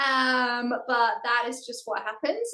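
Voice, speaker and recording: This woman speaks at a fairly high pitch. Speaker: ministry team leader. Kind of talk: interview.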